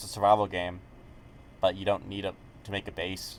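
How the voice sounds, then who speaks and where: A man mumbles in a fairly low voice. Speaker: gaming YouTuber. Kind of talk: casual commentary video. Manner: hesitant, many fillers; mumbling.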